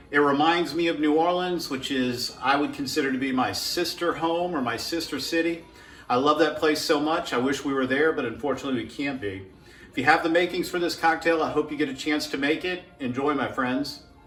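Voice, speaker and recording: This man has a fairly high pitch and a relaxed tone, with an American accent and ordinary pitch variation. He goes at a fairly quick pace, with audible room echo and noticeable background noise. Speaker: home cocktail video maker. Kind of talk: casual tutorial. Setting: at home. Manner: relaxed, with fillers.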